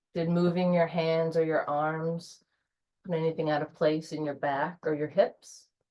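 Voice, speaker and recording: A soft-spoken woman with a calm tone, fairly low pitch, fairly even intonation and a fairly slow pace. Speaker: yoga instructor. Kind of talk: guided yoga class. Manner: slow, calm.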